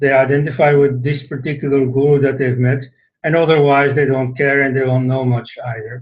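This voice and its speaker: In a Dutch accent, a man talks with a somewhat breathy, fairly high-pitched voice. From Flanders, Belgium. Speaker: author and scholar. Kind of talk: talk to an online audience. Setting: online session. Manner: hesitant, with many fillers.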